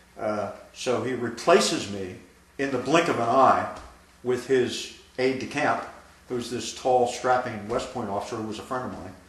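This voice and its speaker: With noticeable background noise behind him, a man talks at a moderate pace and medium pitch, with ordinary pitch variation and big swings in loudness. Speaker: army veteran. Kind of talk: oral history interview answer.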